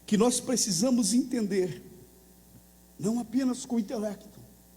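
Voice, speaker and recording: A man's high, dark and mellow voice at a moderate pace, with ordinary pitch variation and audible room echo. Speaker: pastor. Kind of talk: sermon.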